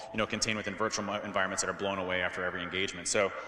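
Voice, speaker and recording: A man speaks with an American accent at a fairly low pitch and fairly even intonation. There is audible room echo. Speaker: security expert and keynote speaker. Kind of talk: conference Q&A. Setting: stage with audience. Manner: repetitive, stammering filler.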